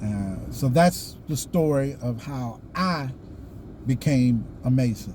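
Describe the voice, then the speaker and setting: A man with a Southern US accent, medium pitch, a dark, mellow, somewhat breathy tone and a very slow pace, with audible room echo. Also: ordinary pitch variation. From US South. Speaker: YouTuber, Freemason. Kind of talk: casual vlog monologue. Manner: halting, many fillers.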